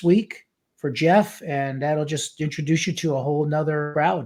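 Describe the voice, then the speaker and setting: In an ordinary speaking voice, a man talks at a fairly high pitch with fairly even intonation. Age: 60s. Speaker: guest podcast host, metal reviewer. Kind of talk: casual interview chat.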